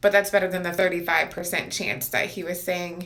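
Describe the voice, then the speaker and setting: A woman speaks at a fairly low pitch with fairly even intonation. Audible room echo surrounds her voice. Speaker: pregnancy vlogger. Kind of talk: casual vlog update. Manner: hesitant, many fillers.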